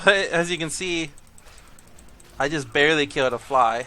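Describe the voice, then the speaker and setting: A man is speaking here. Noticeable background noise can be heard. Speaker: gaming video creator. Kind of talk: gameplay commentary. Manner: casual, conversational with fillers.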